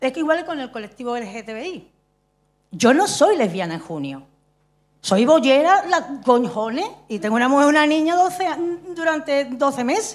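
Very wide pitch swings mark this fairly slow voice, heard against a quiet background. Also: woman, high pitch for a woman. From Andalusia. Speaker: stage director and playwright; speaker. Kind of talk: audience contribution in forum. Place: stage.

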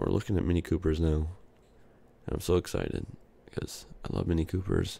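Soft-spoken and somewhat breathy, a man talks at a moderate pace with a very deep, low pitch, a dark, mellow tone and fairly even intonation. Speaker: ASMR YouTuber. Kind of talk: soft-spoken ASMR video, casual chat. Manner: soft speaking, casual, filler words.

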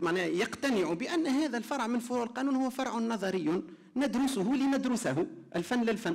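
A man talks at an extremely high pitch with lively intonation and a very slow pace. The background is quiet. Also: very even loudness. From Tunisia. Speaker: law lecturer; panelist, law lecturer. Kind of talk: conference presentation; panel discussion.

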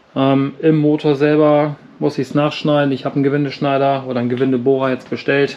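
Moderate pace over light background noise. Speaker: hobby tractor restorer. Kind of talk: casual workshop vlog explanation. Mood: exasperated, amused. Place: garage.

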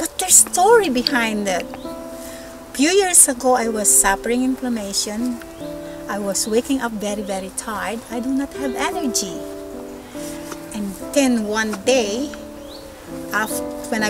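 A woman at a moderate pace with long, frequent pauses, dry with no echo, against loud background noise. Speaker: perfume reviewer. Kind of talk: product review to camera. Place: garden.

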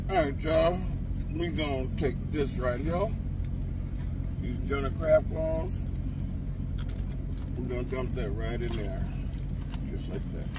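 Loud background noise surrounds a man who leaves long, frequent pauses, in a dry sound with no echo. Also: fairly slow pace. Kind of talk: casual cooking tutorial. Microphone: phone near.

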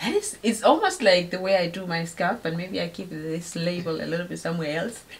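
With a Namibian accent, a woman speaks at a fairly quick pace and fairly low pitch. Her intonation is fairly even, with hardly any pauses. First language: Oshiwambo. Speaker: video blogger. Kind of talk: casual chat. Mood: warm, playful. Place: home room. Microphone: camera far.

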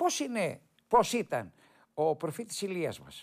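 A man speaks with very wide swings in pitch over a quiet background. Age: 70s. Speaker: TV host on local history; TV presenter. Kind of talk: televised history talk with photos. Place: studio. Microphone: lapel.

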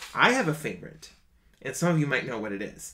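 An American man speaks with a fairly high pitch, a bright, sharp tone and some vocal fry. His intonation is lively. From Minnesota, small town outside Minneapolis. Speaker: singer and online show host. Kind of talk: casual livestream monologue. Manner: animated. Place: home room.

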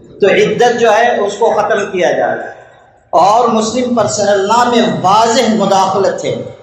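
Against noticeable background noise, a man speaks in a high pitch with monotone, flat intonation. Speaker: Islamic scholar. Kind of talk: public speech to an assembly.

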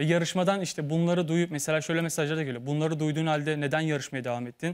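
A man with a fairly high pitch talks at a very fast pace. His intonation stays fairly even against a quiet background. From Turkey, İzmir; Turkey. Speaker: former model contestant; talk show guest. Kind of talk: TV talk show testimony. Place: studio.

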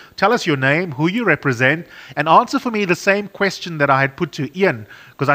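The man's tone is bright and sharp. He speaks at a fairly quick pace with lively intonation. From South Africa. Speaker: radio broadcaster and panel moderator; radio broadcaster, panel moderator. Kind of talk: moderated panel discussion. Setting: studio for online webinar.

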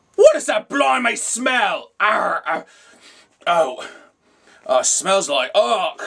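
In a cartoonish character voice, the words come at a very slow pace, broken by long, frequent pauses. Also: man, high pitch for a man. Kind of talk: puppet skit, all parts voiced.

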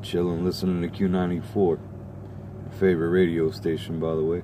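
A man with a very deep, low pitch speaks at a moderate pace and fairly even intonation, the sound dry with no echo but with noticeable background noise. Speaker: vlogger. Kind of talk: casual vlog chat. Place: car. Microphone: phone near.

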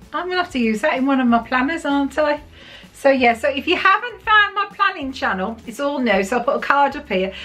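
A woman speaks very fast in a raised, projected voice. Her pitch swings very widely. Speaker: vlogger. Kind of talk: casual vlog chat. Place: home room. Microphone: phone near.

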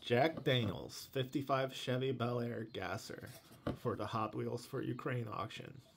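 At a fairly slow pace, a man with a medium pitch speaks with vocal fry and fairly even intonation. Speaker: YouTube channel host, Hot Wheels collector and reviewer. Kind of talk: casual talk to camera.

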